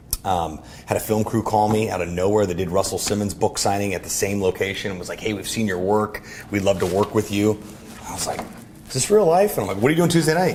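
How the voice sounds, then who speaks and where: A man's animated, very fast delivery over noticeable background noise. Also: fairly low pitch for a man, lively intonation. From US, raised in Orlando and Miami. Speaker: entrepreneur and event emcee. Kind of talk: casual interview chat. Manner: animated, with many fillers.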